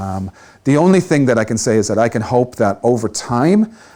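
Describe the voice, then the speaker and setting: A man with an Irish accent speaks at a moderate pace in a dark, mellow tone. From Ireland. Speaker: tech panelist, developer advocate. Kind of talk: panel discussion.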